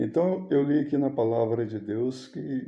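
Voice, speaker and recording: Somewhat breathy, a man speaks at a fairly slow pace with lively intonation, with audible room echo around him. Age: 60s. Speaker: missionary preacher. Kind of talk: sermon. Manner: informal, conversational.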